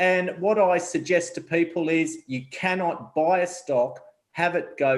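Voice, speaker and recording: Speaking with an Australian accent, a man uses a high pitch with ordinary pitch variation. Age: 40s. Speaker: investment advisor. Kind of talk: interview.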